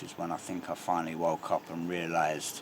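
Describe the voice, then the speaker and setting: Noticeable background noise accompanies this man's speech, delivered at a moderate tempo. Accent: London. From London, England. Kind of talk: street interview answer.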